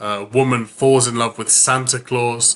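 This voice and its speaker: A man with a British accent, medium in pitch and bright, sharp in tone, monotone with flat intonation at a moderate pace. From United Kingdom. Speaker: book reviewer. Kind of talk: casual talk to camera.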